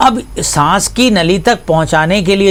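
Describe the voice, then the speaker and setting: Ordinary pitch variation in a man's speech. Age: 60s. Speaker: pediatrician. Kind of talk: health education interview. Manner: formal.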